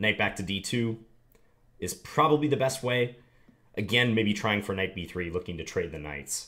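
Against a quiet background, a man with a fairly low pitch and a bright, sharp tone speaks at a moderate pace with lively intonation and long, frequent pauses. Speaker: chess teacher. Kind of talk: tutorial with live game commentary. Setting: screen recording of online chess. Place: home room.

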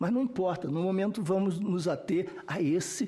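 A high-pitched, dark, mellow male voice at a moderate pace, with ordinary pitch variation. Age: 60s. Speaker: researcher and expert witness on violence; witness. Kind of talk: testimony at a parliamentary hearing. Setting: senate committee hearing room. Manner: formal. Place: meeting room. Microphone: podium.

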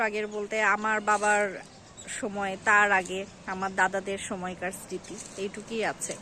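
Noticeable background noise runs under the recording. Over it, a woman speaks at a fairly high pitch. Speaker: lifestyle vlogger. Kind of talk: vlog narration. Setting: outdoors on a rooftop.

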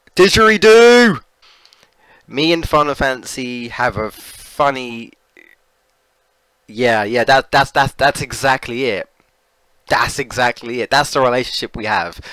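A man with a British accent and a medium pitch talks at a fairly slow pace with lively intonation and long, frequent pauses. His tone is bright and sharp, and the sound is dry and close with no echo. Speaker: gaming streamer. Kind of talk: live gameplay stream chat. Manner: casual, repetitive stammering.

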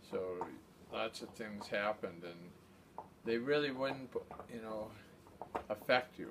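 A man speaks at a very slow pace with long, frequent pauses and big swings in loudness. His pitch varies in an ordinary way over noticeable background noise. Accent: American. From Massachusetts, Nantucket. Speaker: war veteran. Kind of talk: oral history interview. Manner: halting. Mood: reflective, somber recollection. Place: home room. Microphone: phone near.

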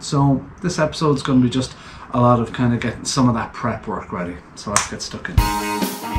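A man talks at a moderate pace, with light background noise present. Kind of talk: casual vlog intro. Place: garage. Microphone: camera far.

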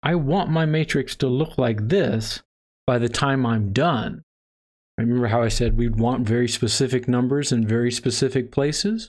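Here a man speaks with an American accent at a medium pitch. His pace is moderate. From Texas. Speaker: math instructor. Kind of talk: lecture. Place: home room.

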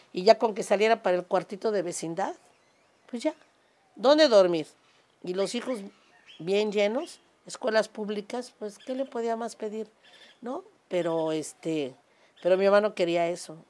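Slowly and with long, frequent pauses, a woman speaks at medium pitch with lively intonation and big swings in loudness. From Mexico, Cuernavaca (Morelos); Mexico. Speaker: restaurant owner and amateur singer; interviewee. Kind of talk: casual interview conversation. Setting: home terrace. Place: home room.

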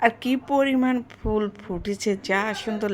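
Noticeable background noise runs behind this recording. In it a woman talks at a fairly high pitch, varying it in an ordinary way. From Rajshahi, Bangladesh. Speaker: vlogger. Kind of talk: casual vlog narration. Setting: hospital.

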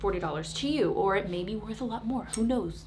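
Against faint background noise, a woman with fairly high pitch talks at a fairly quick pace with lively intonation.

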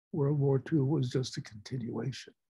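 Against a quiet background, a man with an American accent speaks at a fairly slow pace, somewhat breathy, with fairly even intonation. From United States. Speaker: war veteran. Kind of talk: storytelling to a class. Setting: video call. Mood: earnest, reflective. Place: home room. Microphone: video call.

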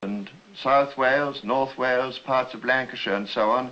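This man has a British accent and a bright, sharp tone at medium pitch. He talks at a moderate pace with ordinary pitch variation. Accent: British, old-fashioned received pronunciation. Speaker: politician (party leader) speaking on a campaign tour. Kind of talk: political speech, to camera.

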